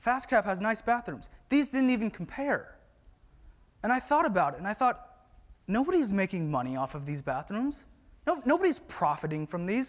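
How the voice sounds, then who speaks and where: In a West Coast accent, a man talks at a moderate pace with a high pitch and very wide pitch swings. The recording is very clean, with a silent background. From US Pacific Northwest, Whatcom County, Washington. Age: 20s. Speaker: conference speaker, employee. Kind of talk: conference talk. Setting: stage with audience.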